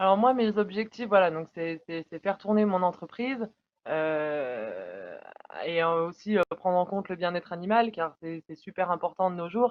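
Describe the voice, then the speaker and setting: A woman with a plain, everyday voice speaks at a fairly slow pace and medium pitch, with ordinary pitch variation and big swings in loudness. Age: 20s. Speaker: dairy cattle farmer. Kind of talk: interview answer.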